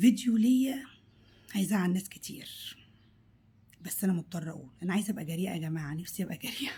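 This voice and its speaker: Her voice has a dark, mellow tone, somewhat breathy and at a medium pitch. The woman speaks at a fairly quick pace with lively intonation. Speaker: cooking vlogger. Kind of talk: vlog monologue. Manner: animated; halting.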